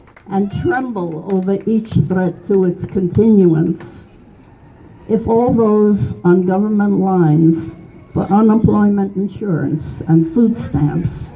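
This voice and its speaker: Noticeable background noise fills the recording. Over it, the woman talks very slowly. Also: medium pitch for a woman, ordinary pitch variation. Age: 80s+. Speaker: political activist. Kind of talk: reading own political poem.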